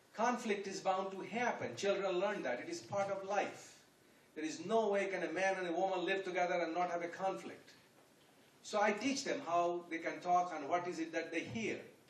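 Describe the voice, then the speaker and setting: A man with a high pitch is heard amid noticeable background noise and audible room echo. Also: ordinary pitch variation, moderate pace. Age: 70s. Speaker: guest speaker at youth event. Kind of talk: public talk. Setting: room with audience.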